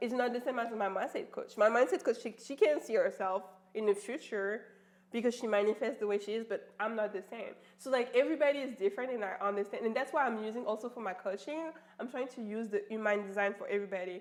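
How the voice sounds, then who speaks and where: Talking at a very fast pace, a woman with a French accent sounds animated, with a fairly high pitch and ordinary pitch variation. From France. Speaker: life coach. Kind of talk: casual chat.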